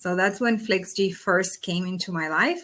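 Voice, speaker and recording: Speaking at a fairly slow pace, a woman has a bright, sharp tone at medium pitch. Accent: Spanish. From Argentina. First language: Spanish. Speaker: startup executive. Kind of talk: interview. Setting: video call.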